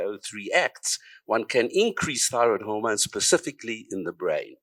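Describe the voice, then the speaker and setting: A man speaks with a South African accent. The sound is dry and close with no echo, on a very clean recording with a silent background. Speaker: psychiatrist and researcher. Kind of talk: conference talk.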